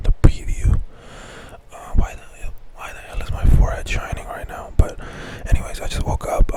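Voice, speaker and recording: A man whispers breathily at a moderate pace over noticeable background noise. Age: 20s. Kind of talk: casual talk to camera. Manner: whispered, breathy.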